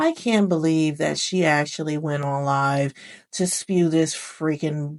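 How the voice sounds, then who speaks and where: A woman with a very deep, low pitch speaks in an animated tone. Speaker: true crime commentary youtuber. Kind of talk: opinionated commentary monologue. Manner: gets louder when passionate.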